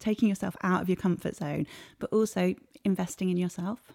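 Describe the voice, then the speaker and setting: In a southern English accent, a woman with a dark, mellow tone and medium pitch speaks with fairly even intonation on a very clean recording with a silent background and a dry, close sound with no echo. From England, Cambridgeshire. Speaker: sports marketing executive and sailor. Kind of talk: interview.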